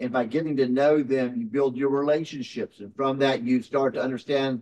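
This man's pitch is medium, his tone slightly mellow. He keeps fairly even intonation at a moderate pace.

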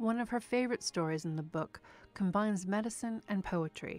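In a very clean recording with a silent background, a woman with an unremarkable speaking voice talks at a fairly quick pace and medium pitch, with ordinary pitch variation. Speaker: radio show host. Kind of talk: radio feature narration.

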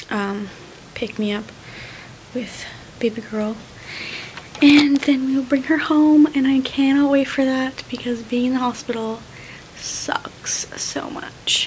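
Speaking at a very slow pace with long, frequent pauses, a woman keeps a high pitch and fairly even intonation over light background noise. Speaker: new mother vlogger. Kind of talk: casual vlog chat. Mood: tender, content. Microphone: phone near.

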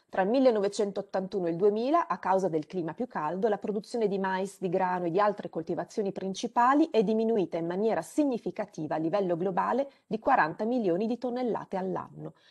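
In an ordinary speaking voice, a woman at medium pitch talks at a fairly quick pace with hardly any pauses and ordinary pitch variation against a quiet background. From Romagna, Italy (Rimini); Romagna, Italy. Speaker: climate scientist; webinar presenter. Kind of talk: lecture. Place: home room. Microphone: video call.

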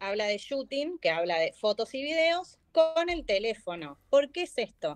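A woman with a Rioplatense accent speaks at a fairly slow pace, her high pitch swinging very widely. The background is quiet. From Argentina. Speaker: marketing manager; guest. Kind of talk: live online class.

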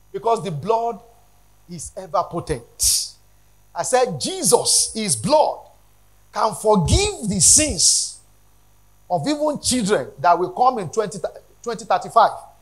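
A man talks at a slow pace, pitched high for a man. His pitch swings widely.

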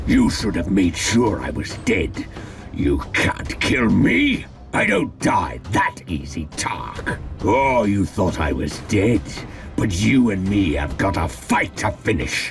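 A raspy man speaks at a fairly slow pace and a fairly low pitch, with very wide pitch swings. Clear background noise runs underneath. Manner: snarling, aggressive.

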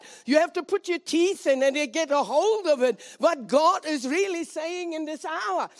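Against a quiet background, a woman speaks at an extremely high pitch. Her pace is moderate, and her pitch varies in an ordinary way. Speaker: speaker. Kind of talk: prayer then sermon. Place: stage. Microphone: handheld.

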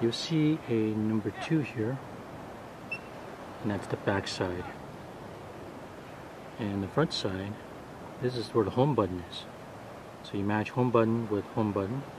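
A man speaks fairly slowly at a fairly low pitch, pausing long and often, in a dry sound with no echo and noticeable background noise. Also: ordinary pitch variation. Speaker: gear reviewer. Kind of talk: tutorial. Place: beach. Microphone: phone near.

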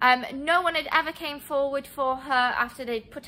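A woman talks at a fairly slow pace. Her tone is bright and sharp.

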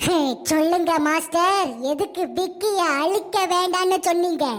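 A female-sounding voice speaks in a cartoonish character voice at an extremely high pitch. The pace is fairly slow, with light background noise. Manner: robotic mode announcements, gloating laughs.

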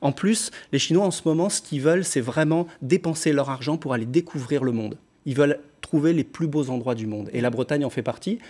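Dark, mellow tone from a man, his pitch varying in an ordinary way. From France, Lyon; France. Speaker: pop singer; interviewee. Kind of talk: TV interview. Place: studio.

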